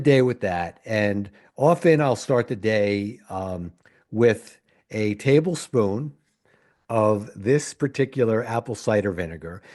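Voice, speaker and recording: A man with an American accent speaks in a dark, mellow tone. His intonation is lively. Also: quiet background. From US Northeast (New Haven, Connecticut). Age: 60s. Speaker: physician podcast host. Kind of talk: solo podcast monologue. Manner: halting, with frequent fillers.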